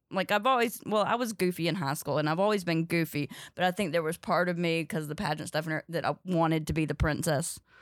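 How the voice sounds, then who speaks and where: Over a silent background in a very clean recording, a woman talks at a very fast pace. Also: fairly low pitch for a woman, ordinary pitch variation. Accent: Southern US. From North Carolina, US South. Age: 30s. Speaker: stand-up comedian. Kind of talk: casual chat. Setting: studio.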